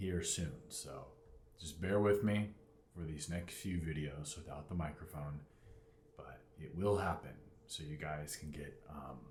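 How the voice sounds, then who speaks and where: With audible room echo, a man speaks at a very deep, low pitch with vocal fry, a fairly slow pace, long, frequent pauses, big swings in loudness and ordinary pitch variation. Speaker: fitness vlogger. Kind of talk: casual vlog talk. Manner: talking loud on purpose.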